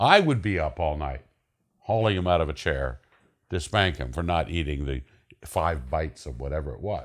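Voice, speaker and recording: Recorded very clean with a silent background, a man speaks with vocal fry at a very deep, low pitch, with ordinary pitch variation and a moderate pace. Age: 70s. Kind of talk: seminar talk. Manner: halting.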